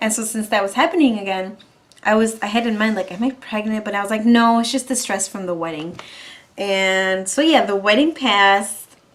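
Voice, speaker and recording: Her tone animated, a woman talks at a fairly quick pace with a fairly high pitch and ordinary pitch variation. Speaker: vlogger. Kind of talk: casual chat.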